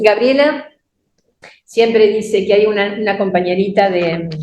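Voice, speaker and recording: Speaking at a fairly slow pace in a Rioplatense accent, a woman with a medium pitch comes through with audible room echo. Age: 70s. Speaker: church teacher. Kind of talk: sermon. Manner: halting.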